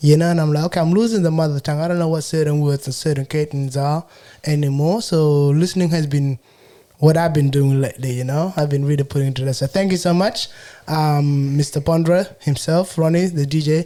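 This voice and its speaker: A man speaks at a fairly high pitch and a fairly quick pace in a South Sudanese Australian accent. His tone is dark and mellow, and his intonation fairly even. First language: Shilluk. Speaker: podcaster and entrepreneur. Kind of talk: casual interview chat.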